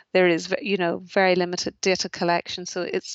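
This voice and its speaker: A woman speaks in a Northern Irish accent. Her intonation is monotone and flat. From Northern Ireland, rural. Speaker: charity chief executive. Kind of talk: interview. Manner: hesitant, with fillers and repetitions.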